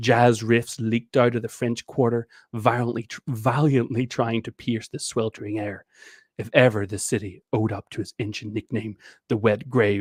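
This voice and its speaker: Using a put-on character voice, a man sounds husky at a medium pitch and moderate pace on a very clean recording with a silent background. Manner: noir-style narration.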